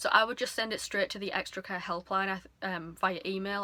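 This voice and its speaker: In an English accent, a woman speaks at a fairly quick pace with a bright, sharp tone and medium pitch. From England. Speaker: couponing YouTuber. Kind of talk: tutorial. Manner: casual, hesitant with frequent ums.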